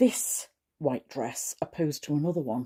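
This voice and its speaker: In a Cheshire accent, a woman speaks at a moderate pace with a very deep, low pitch and a dark, mellow tone. The sound is dry and close, with no echo. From Mid-Cheshire, England. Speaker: crafter, quilter. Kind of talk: casual talk to camera.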